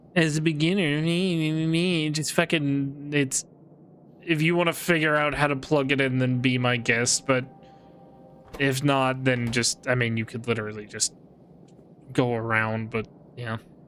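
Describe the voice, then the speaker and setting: Music plays behind a man talking at a moderate pace. His pitch is fairly high with ordinary variation, and he takes long, frequent pauses. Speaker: gaming streamer. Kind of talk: casual livestream gameplay commentary. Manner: animated.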